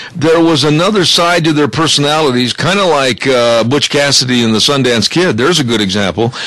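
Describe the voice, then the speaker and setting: Through noticeable background noise, a man talks at a fairly quick pace. His pitch is fairly high, with lively intonation. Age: 60s. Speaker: radio host. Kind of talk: casual chat.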